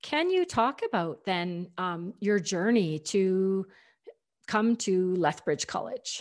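A woman with a Canadian accent speaks at a very slow pace, medium in pitch with ordinary pitch variation. The recording is very clean, with a silent background. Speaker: podcast host, learning experience designer. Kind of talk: interview.

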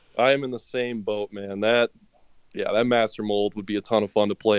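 At a moderate pace, a man talks in an ordinary speaking voice at a medium pitch. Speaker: listener guest. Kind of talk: casual interview chat.

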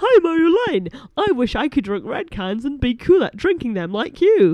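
Using a put-on character voice, a woman speaks high with very wide pitch swings at a moderate pace.

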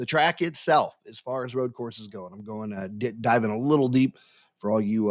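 Here a man speaks at a fairly quick pace with an American accent and ordinary pitch variation, in a normal speaking voice. The recording is very clean, the background silent. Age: middle-aged. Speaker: podcast host. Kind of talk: casual solo podcast monologue. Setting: home, live recording. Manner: relaxed, with frequent fillers.

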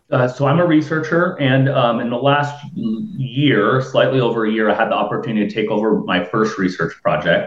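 With an American accent, a man speaks at a moderate pace and medium pitch, his pitch swinging very widely. Noticeable background noise is present. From Florida, Tampa Bay area. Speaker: researcher. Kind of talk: casual chat.

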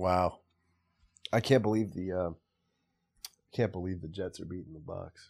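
Very deep and low, a man's voice moves at a moderate pace with fairly even intonation and long, frequent pauses. His loudness swings widely. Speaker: podcast host and live game commentator. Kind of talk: live play-by-play commentary. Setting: live Twitter space stream while watching the game.

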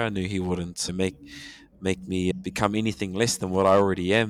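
A man with a New Zealand accent, very deep and low in pitch, in a monotone, flat delivery on a very clean recording with a silent background. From New Zealand, Hamilton. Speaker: returned missionary and language teacher. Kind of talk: casual chat.

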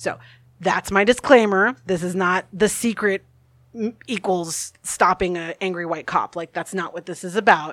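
A woman's voice shows big swings in loudness and ordinary pitch variation, recorded with a dry, close sound with no echo amid noticeable background noise. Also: medium pitch for a woman, moderate pace. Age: 30s. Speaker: pagan priestess. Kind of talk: casual chat. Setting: studio. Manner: animated.

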